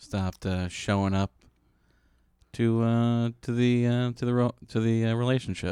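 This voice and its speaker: In an American accent, a man delivers his words at a medium pitch with a dark, mellow tone and monotone, flat intonation. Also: moderate pace. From Chicago. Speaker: comedian and podcast producer. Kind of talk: casual chat. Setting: studio.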